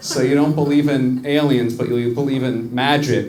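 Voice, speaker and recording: With noticeable background noise and audible room echo, a man in an American accent speaks at a medium pitch and a fairly slow pace in a monotone, flat intonation. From US. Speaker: stand-up comedian. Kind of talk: stand-up. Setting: stage with audience.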